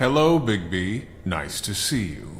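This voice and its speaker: A man speaks in a put-on character voice. It sits fairly low in pitch and moves at a fairly slow pace. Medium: video game. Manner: formal, rhyming.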